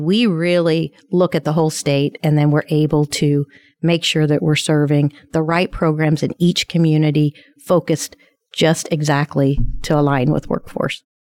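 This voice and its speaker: With a Midwestern American accent, a woman speaks at a very deep, low pitch in a monotone, flat intonation at a moderate pace, on a very clean recording with a silent background and a dry, close sound with no echo. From southern Indiana. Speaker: community college president, former lieutenant governor. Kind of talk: interview.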